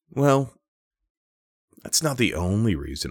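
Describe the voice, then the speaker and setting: Vocal fry in an American accent at a moderate pace, on a very clean recording with a silent background. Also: man. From Minnesota. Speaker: podcast co-host. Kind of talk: improvised storytelling.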